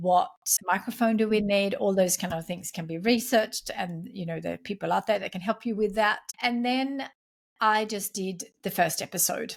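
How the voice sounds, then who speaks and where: Somewhat breathy, a woman speaks at medium pitch and a moderate pace with ordinary pitch variation. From Sweden. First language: Swedish. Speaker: entrepreneur and podcast host. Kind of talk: interview.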